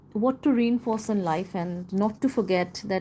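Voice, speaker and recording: Speaking in a non-native accent, a woman with a dark, mellow tone and medium pitch keeps her intonation fairly even on a very clean recording with a silent background. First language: not English. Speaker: live streamer discussing a book. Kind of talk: casual live stream chat and reading aloud. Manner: halting.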